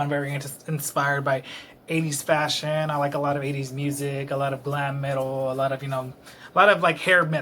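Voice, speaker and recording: A man with a bright, sharp tone talks at a fairly quick pace in a monotone, flat delivery. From Texas, Dallas. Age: 20s. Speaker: vlogger. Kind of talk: casual monologue vlog. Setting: at home alone in apartment. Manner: rambling, hesitant.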